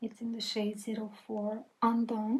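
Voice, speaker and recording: A woman with a non-native accent speaks at a fairly high pitch. Her tone is dark and mellow, and somewhat breathy. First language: not English. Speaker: beauty content creator. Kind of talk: makeup tutorial voiceover. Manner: friendly, casual.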